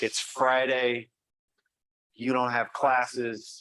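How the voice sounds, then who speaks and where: Loud and at a medium pitch, a man with an American accent speaks in a bright, sharp tone. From US Midwest, Great Plains. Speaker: journalism professor. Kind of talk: conference talk.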